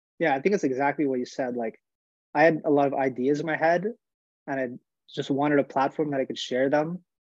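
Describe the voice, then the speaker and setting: Talking at a very fast pace, a man keeps his intonation fairly even. His pitch is medium. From Montreal, Quebec, Canada. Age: 20s. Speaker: hockey player and online skating coach. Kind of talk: casual interview chat. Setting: remote call.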